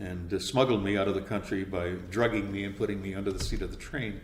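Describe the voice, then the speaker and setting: Audible room echo surrounds a speaker with a Canadian accent talking at a moderate pace. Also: man. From Canada, Winnipeg. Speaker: radio voice-over announcer. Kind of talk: interview.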